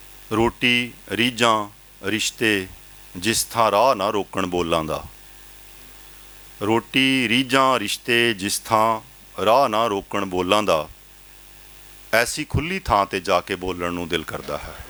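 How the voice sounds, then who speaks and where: A plain, everyday voice from a man, fairly low in pitch, with ordinary pitch variation. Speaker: poet, professor. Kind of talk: poetry reading.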